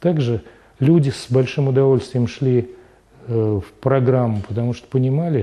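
The tone here is dark and mellow. A man talks at a moderate pace. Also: medium pitch for a man, ordinary pitch variation.

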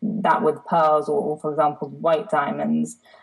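A woman's very deep, low voice with vocal fry at a moderate pace. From Italy (half Italian), family business in Geneva. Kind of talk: interview conversation. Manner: hesitant, many fillers and repetitions.

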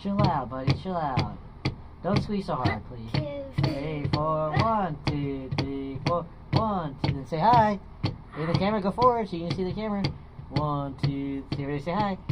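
Over loud background noise, a man with a fairly high pitch speaks at a moderate pace in a playful tone with lively intonation. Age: 20s. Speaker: music teacher. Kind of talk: music lesson with a young child. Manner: playful, counting aloud. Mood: playful, encouraging. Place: classroom.

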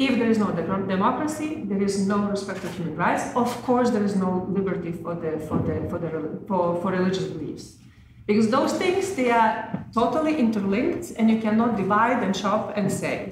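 A woman speaks with lively intonation. Audible room echo and noticeable background noise surround her voice. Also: medium pitch for a woman, moderate pace. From Lithuania. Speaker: former diplomat, NGO president. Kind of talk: conference speech. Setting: conference panel with microphones. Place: meeting room. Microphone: podium.

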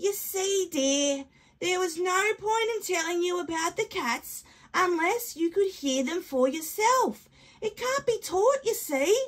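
Speaking at a fairly slow pace, a woman puts on a character voice at an extremely high pitch. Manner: warm, patient, matter-of-fact.

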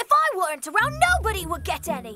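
This cartoonish character voice races along at a fast pace with very wide pitch swings. Its tone is bright and sharp.

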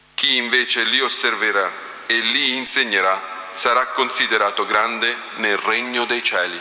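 Fairly even intonation and very even loudness at a fairly slow pace, with audible room echo and music in the background. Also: man. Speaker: liturgical reader. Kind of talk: reading aloud. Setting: church. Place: church. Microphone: podium.

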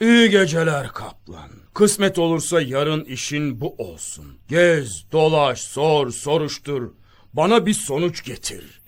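A man puts on a character voice with a fairly high pitch. His delivery is fairly slow. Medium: audio drama. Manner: regal, commanding.

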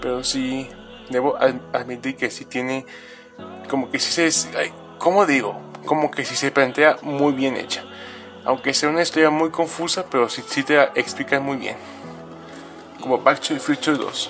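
A man speaks at a moderate pace with long, frequent pauses while music plays clearly in the background. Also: ordinary pitch variation. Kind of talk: casual collection show-and-tell. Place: home room. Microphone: phone near.

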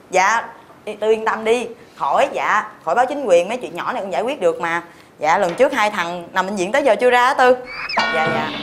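Over music in the background, a woman talks at a fairly quick pace with lively intonation. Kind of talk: scripted phone call dialogue. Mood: casual, slightly boastful. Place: cafe.

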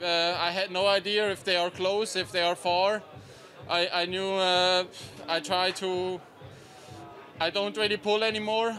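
Over music in the background, a man with a Swiss German accent speaks at a fairly slow pace in a high, monotone voice with flat intonation and very even loudness. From Switzerland. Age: 20s. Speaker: professional cyclist, stage winner. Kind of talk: post-race interview. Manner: hesitant, halting, sincere. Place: street. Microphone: handheld.

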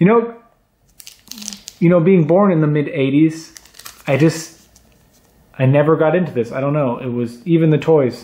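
A man speaks at a fairly slow pace with lively intonation and long, frequent pauses. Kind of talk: casual unboxing commentary. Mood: cheerful, pleased. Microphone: camera far.

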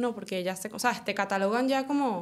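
Recorded very cleanly against a silent background, a woman with a normal speaking voice talks at a fairly quick pace with ordinary pitch variation. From Venezuela. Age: 20s. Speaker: chef and adult content creator. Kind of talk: interview.

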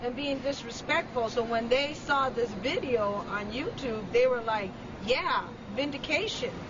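A woman's high voice at a fairly slow pace, with ordinary pitch variation and noticeable background noise. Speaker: TV reporter. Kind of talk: street interview questions. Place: street. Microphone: phone near.

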